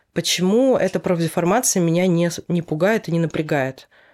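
On a very clean recording with a silent background, a plain, everyday voice, moderate in pace and with ordinary pitch variation. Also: woman. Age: 30s. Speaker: hairdresser. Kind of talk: casual chat.

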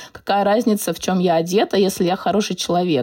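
Here a woman talks at a medium pitch. The tone comes across dark and mellow. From Moscow, Russia. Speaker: personal stylist. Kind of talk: casual interview.

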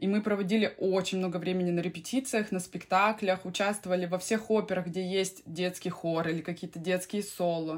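A woman speaks in an ordinary speaking voice at a medium pitch, keeping a moderate pace with hardly any pauses. The recording is very clean, with a silent background. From Siberia, Russia. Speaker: opera singer and vocal coach. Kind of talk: casual interview.

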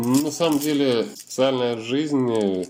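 The man's voice has a dark, mellow tone. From Russia, Yekaterinburg. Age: 30s. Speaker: wheelchair user, internet company employee. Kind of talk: interview testimony.

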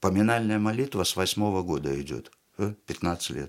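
A man's very slow speech carries lively intonation. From Uzbekistan, Tashkent. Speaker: theatre director and actor. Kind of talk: casual interview chat. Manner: animated.

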